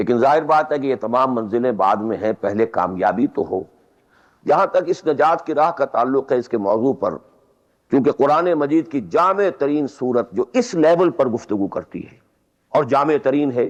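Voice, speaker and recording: A man speaks in an unremarkable speaking voice over a quiet background. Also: fairly high pitch for a man, lively intonation. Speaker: Islamic scholar giving a religious lecture. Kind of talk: religious lecture (bayan). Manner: explanatory, lecturing.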